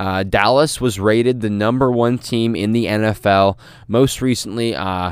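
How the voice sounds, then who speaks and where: A man with an unremarkable speaking voice talks at a moderate pace, fairly low in pitch, with fairly even intonation. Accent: American. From US Midwest, St. Louis. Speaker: sports podcast host. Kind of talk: solo podcast monologue. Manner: frequent filler words, casual.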